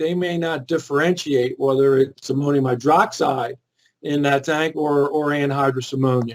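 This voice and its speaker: A man with a Philadelphia accent speaks at a fairly high pitch. His pace is moderate and his pitch variation ordinary. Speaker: chemical industry safety expert. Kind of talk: webinar presentation. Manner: hesitant, many fillers and repeats.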